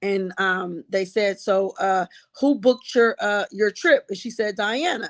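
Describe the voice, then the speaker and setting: Heard against a quiet background, a woman speaks at a medium pitch with ordinary pitch variation, the sound dry and close with no echo. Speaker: trial commentator. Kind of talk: live stream recap. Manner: subdued, less upbeat than usual.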